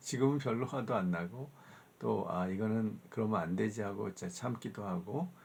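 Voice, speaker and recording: Lively intonation from a man, in an ordinary speaking voice at a moderate pace. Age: 60s. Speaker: professor. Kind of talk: lecture. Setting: recorded video lecture. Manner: conversational, with fillers.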